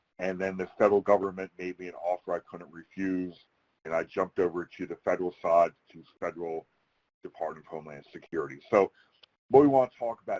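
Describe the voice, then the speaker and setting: With an American accent, a man speaks at a fairly quick pace in a very deep, low voice, his loudness swinging widely and his pitch varying in an ordinary way, all in a dry, close sound with no echo. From US Northeast, outside Philadelphia. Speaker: federal security advisor, retired military. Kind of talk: webinar presentation. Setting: virtual webinar. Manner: fast.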